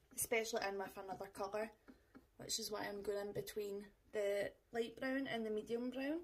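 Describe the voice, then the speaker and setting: In a Scottish accent, a woman talks at a moderate pace with a fairly high voice and ordinary pitch variation, over light background noise. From Scotland. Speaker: makeup vlogger. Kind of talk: tutorial. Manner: casual, chatty. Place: home room. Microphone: camera far.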